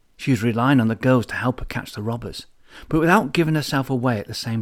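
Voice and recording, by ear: A natural voice reading aloud, its pitch shifting in an ordinary way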